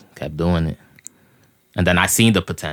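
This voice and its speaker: A man speaks in a very deep, low pitch. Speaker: rapper. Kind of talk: casual interview.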